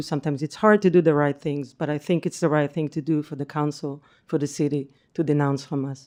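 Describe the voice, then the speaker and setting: A woman's very deep, low voice in an Israeli accent, dark and mellow in tone, fairly quick, with fairly even intonation over a quiet background. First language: Hebrew. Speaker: public commenter. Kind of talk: public comment. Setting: city council meeting.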